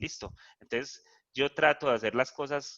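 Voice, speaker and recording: A bright, sharp tone with a dry, close sound and no echo. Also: man. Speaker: math professor. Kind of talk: lecture. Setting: video call. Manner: fast.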